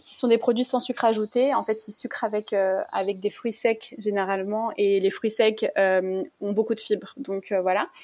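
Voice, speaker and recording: Speaking at a moderate pace, a woman has a plain, everyday voice, fairly high in pitch, with ordinary pitch variation. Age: 30s. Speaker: low-GI food content creator. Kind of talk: interview.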